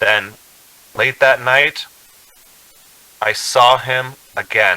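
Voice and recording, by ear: A man does a put-on character voice at a medium pitch. His tone is bright and sharp, his intonation fairly even, and his pace very slow.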